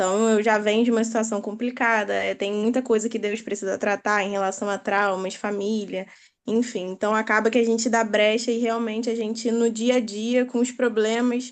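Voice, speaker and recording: A woman's fairly high pitch, flat monotone intonation, moderate pace and hardly any pauses over a quiet background. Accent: Rio de Janeiro. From Brazil, Rio de Janeiro. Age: 20s. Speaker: participant in online prayer group. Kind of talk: testimony.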